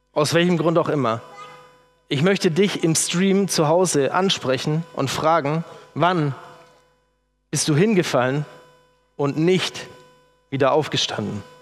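With music in the background, a man with a fairly high pitch talks at a very slow pace, leaving long, frequent pauses and keeping his loudness very even. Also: ordinary pitch variation. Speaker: preacher. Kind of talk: sermon in a church. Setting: church with congregation. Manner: emotional, earnest, conversational; working from notes.

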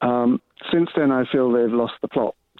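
A man at medium pitch and moderate pace, an ordinary speaking voice, with fairly even intonation. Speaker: caller. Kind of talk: phone-in call. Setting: phone call.

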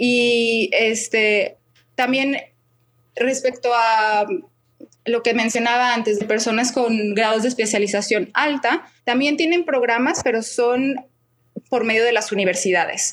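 In a Mexican accent, a woman speaks at a fairly slow pace with very even loudness and long, frequent pauses. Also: fairly high pitch for a woman, ordinary pitch variation. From Mexico, Guadalajara. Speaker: expat interviewee. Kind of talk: podcast interview.

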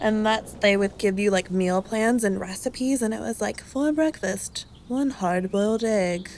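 In an ordinary speaking voice, the speaker keeps a moderate pace with hardly any pauses and ordinary pitch variation. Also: woman, medium pitch for a woman. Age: 20s. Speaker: podcast guest. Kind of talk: casual chat.

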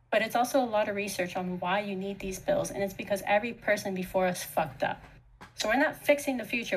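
Over noticeable background noise, a woman speaks fairly quickly at medium pitch, with ordinary pitch variation. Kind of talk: casual chat.

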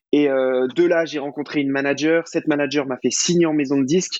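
At a moderate pace, a man speaks at a fairly high pitch with monotone, flat intonation. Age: 20s. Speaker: singer-songwriter. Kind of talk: interview. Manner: casual, hesitant with fillers.

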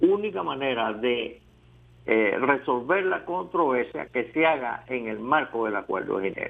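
A man speaks fairly slowly in a normal speaking voice. His pitch is medium and his intonation lively. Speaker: historian. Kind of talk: interview.

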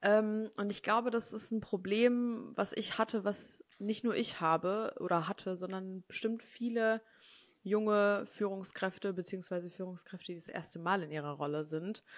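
A woman with an unremarkable speaking voice talks at a moderate pace, medium in pitch, with ordinary pitch variation. The recording is very clean, with a silent background. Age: 20s. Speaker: HR consultant. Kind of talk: casual interview.

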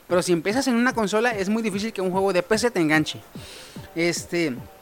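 A man with an animated tone at a fairly quick pace, ordinary pitch variation, and noticeable background noise. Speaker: podcast host. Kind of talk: casual chat.

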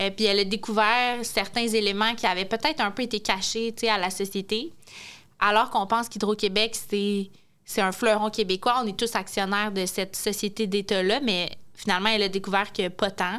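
A woman of medium pitch talks at a moderate pace with fairly even intonation, on a very clean recording with a silent background. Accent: Quebec City. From Quebec City. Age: 20s. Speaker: French teacher. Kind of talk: casual chat.

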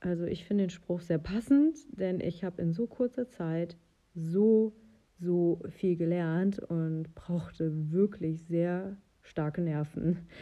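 Her tone dark and mellow, a woman speaks at a very slow pace with ordinary pitch variation. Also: fairly low pitch for a woman. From western Germany (North Rhine-Westphalia). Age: 30s. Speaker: podcast host and horse owner. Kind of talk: casual solo podcast monologue. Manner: occasionally stumbling over words.

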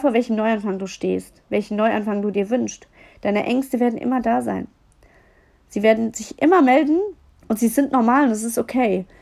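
A woman speaks at a fairly high pitch in a dark, mellow tone, with ordinary pitch variation. Her pace is moderate, with long, frequent pauses. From Germany, Düsseldorf. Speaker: podcast host and mindset coach. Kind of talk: solo podcast monologue. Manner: animated.

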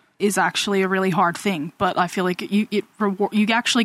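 With an American accent, a woman speaks at a medium pitch in a dry, close recording with no echo. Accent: Australian with some American tinge. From Australia. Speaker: guest. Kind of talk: casual chat.

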